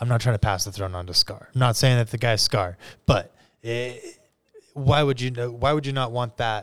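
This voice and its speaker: An ordinary speaking voice from a man, medium in pitch and fairly quick in pace, with ordinary pitch variation, on a very clean recording with a silent background. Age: 30s. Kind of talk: casual chat.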